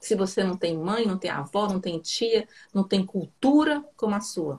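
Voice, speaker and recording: At a fairly slow pace, a woman speaks at a medium pitch with lively intonation and a somewhat breathy voice. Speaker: psychoanalyst. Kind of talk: casual chat. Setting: live stream video call.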